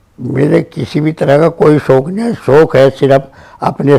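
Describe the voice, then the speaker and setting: Dark, mellow tone from a man with a fairly high pitch. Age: 70s. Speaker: businessman and religious community leader. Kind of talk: interview.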